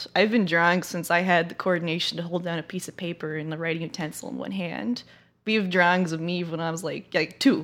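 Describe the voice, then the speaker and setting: Speaking very fast with big swings in loudness, a woman with an American accent has a fairly low pitch and ordinary pitch variation. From Los Angeles, US West Coast. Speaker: game artist and developer. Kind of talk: casual chat.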